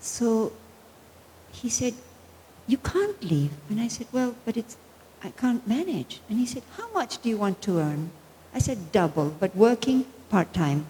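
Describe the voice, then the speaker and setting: Speaking at a fairly slow pace with long, frequent pauses, a woman uses a fairly high pitch that moves through very wide swings. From Argentina. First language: Spanish. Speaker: spiritual teacher. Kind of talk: spiritual talk.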